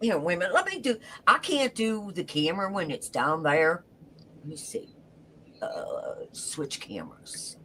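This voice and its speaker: A woman speaks at a fairly slow pace, her loudness swinging widely, with noticeable background noise behind her. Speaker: livestream host. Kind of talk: casual chat.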